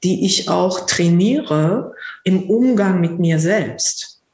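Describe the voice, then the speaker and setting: A woman speaks with a fairly low pitch and ordinary pitch variation. Audible room echo surrounds her voice. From Lower Rhine region, Germany. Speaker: psychotherapist and mindfulness teacher. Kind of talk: casual interview conversation.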